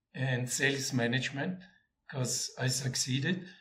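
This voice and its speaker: With an Austrian accent, a man talks at a medium pitch and a moderate pace. Audible room echo surrounds his voice. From Austria, Vienna. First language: German. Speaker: former corporate sales executive. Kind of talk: interview. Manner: halting, with frequent repetitions.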